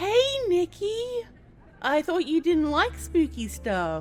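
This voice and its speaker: Over faint music in the background, a woman puts on a squeaky character voice at a high pitch and a fairly slow pace. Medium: read story. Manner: taunting, cutting.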